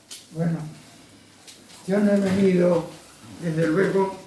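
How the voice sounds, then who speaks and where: A man speaks in a high, monotone, flat voice. Noticeable background noise and audible room echo surround him. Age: 90s. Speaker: lecturer, former trade unionist. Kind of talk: lecture.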